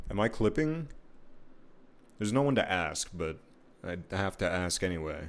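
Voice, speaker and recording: A man mumbles in a very deep, low pitch with lively intonation. Long, frequent pauses break up his speech. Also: moderate pace. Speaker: streaming artist. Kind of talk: casual live-stream commentary while drawing. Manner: mumbling.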